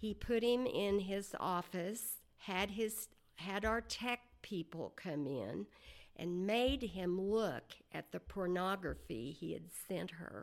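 She has an American accent and a medium-pitched voice with lively intonation. Her pace is very slow. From Oklahoma, rural farm. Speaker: business executive. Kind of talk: interview.

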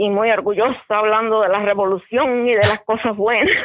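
Monotone, flat intonation from a woman whose voice sits fairly high. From eastern Cuba (Bayamo). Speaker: interview guest, caregiver. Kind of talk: casual interview.

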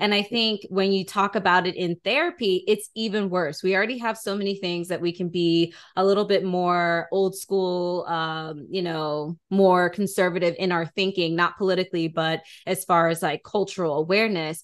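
Her voice is an ordinary speaking voice, medium in pitch, with an American accent. The woman talks with fairly even intonation and hardly any pauses. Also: moderate pace. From US, Atlanta, Georgia. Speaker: podcast host. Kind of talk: interview.

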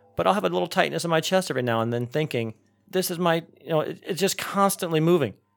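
The speech comes at a very fast pace. Its intonation is lively. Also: man, fairly high pitch for a man. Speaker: podcast host. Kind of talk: casual chat.

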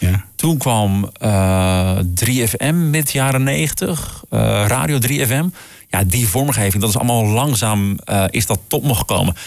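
A man's fairly low voice with lively intonation and very even loudness at a very slow pace. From Groningen, northern Netherlands. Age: 40s. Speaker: jingle producer. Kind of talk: casual chat.

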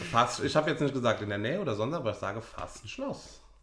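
Over noticeable background noise and audible room echo, a man with a Rhineland accent talks at a fairly quick pace with lively intonation. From Rhineland, western Germany. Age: 20s. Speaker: podcast co-host. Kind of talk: casual chat.

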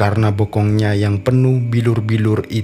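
The clip features a natural reading voice. Its intonation is fairly even.

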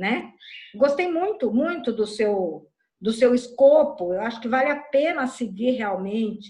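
A woman speaks at a fairly slow pace with a high pitch. Her tone is dark and mellow, and her intonation is lively. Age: 60s. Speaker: workshop participant. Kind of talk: casual chat.

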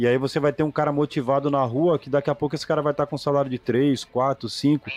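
A man's fairly high voice at a very fast pace, with a dry, close sound with no echo and a quiet background. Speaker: podcast host and HVAC business owner. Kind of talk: casual interview chat.

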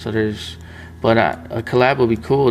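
A man with a fairly low pitch amid noticeable background noise. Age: 20s. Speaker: print shop owner and YouTuber. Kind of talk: casual chat. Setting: in his print shop's production room.

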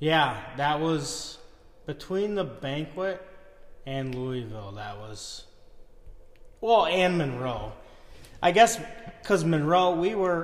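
With an American accent, a man at a fairly high pitch speaks at a very slow pace with lively intonation, long, frequent pauses and big swings in loudness, amid audible room echo and noticeable background noise. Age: 30s. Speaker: tractor puller. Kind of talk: casual chat.

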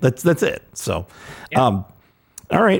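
A man speaks with vocal fry. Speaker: podcast host. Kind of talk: casual chat.

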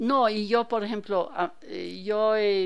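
Very slowly, a woman speaks with ordinary pitch variation on a very clean recording with a silent background. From Germany, Hannover. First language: German (speaking Spanish). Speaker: painter. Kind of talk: radio interview.

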